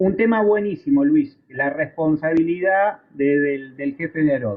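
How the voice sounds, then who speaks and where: With an Argentine accent, a man speaks at a fairly slow pace using lively intonation. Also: fairly high pitch for a man. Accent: Argentine Spanish (rioplatense voseo). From Argentina. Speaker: aviation instructor. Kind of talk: lecture. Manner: conversational, with frequent fillers and repetitions.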